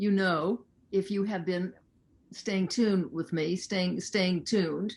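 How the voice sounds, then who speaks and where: The delivery comes fairly slowly and with fairly even intonation, in an ordinary speaking voice. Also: woman. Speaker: talk show host, interviewer. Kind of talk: interview, host questions.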